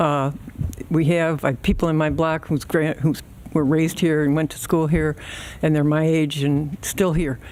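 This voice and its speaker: In a Midwestern US accent, a woman with a very deep, low pitch talks at a moderate pace in a monotone, flat intonation. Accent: US Midwest. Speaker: public commenter. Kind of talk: public comment at board meeting. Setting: village board meeting at podium.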